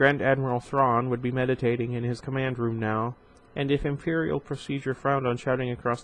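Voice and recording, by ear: A passage is read aloud in a natural voice. Its intonation is fairly even.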